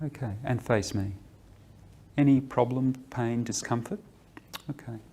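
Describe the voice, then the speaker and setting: Soft-spoken and gentle, calm in tone, a man talks at a medium pitch and a fairly slow pace with ordinary pitch variation. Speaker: clinician giving a musculoskeletal screening exam. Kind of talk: clinical instruction to a patient. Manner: soft-spoken, gentle, calm.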